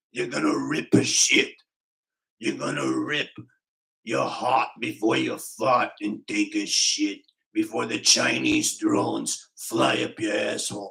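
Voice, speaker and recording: A man puts on a raspy character voice in a Boston accent, talking at a fairly slow pace. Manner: strained, ripping, forceful.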